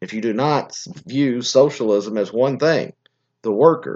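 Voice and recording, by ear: Speaking at a fairly slow pace, a man has a medium pitch with ordinary pitch variation. His tone is slightly mellow.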